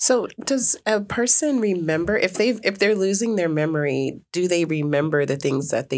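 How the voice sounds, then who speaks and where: With a fairly low pitch, this woman's voice makes very wide pitch swings, holds a very even loudness and has hardly any pauses. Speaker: radio host. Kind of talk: radio interview.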